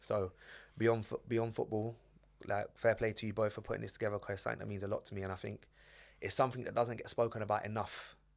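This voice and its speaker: A man with a North London accent at a very fast pace, on a very clean recording with a silent background. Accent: North London English, multicultural London. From London, Edmonton. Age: 20s. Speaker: former footballer and football coach. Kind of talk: podcast interview.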